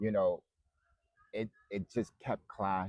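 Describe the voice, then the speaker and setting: Speaking at a fairly slow pace is a man. His pitch is fairly low. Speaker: vlogger. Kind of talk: casual chat.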